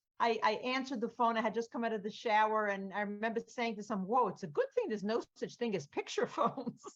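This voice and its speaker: A woman talks at a very fast pace. Her pitch is fairly high, with ordinary variation. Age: 60s. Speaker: art workshop leader. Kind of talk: interview.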